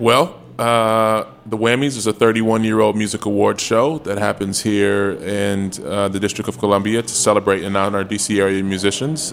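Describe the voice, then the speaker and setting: In a plain, everyday voice of fairly low pitch, a man talks at a moderate pace with ordinary pitch variation and hardly any pauses. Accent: American. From Chicago. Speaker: nonprofit executive director. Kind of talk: casual interview.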